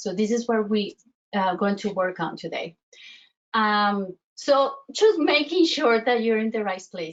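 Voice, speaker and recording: A woman with a Colombian accent speaks at a fairly slow pace, her fairly high pitch moving with lively intonation. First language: Spanish. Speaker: self-worth coach. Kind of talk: online workshop presentation. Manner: halting, many fillers and restarts.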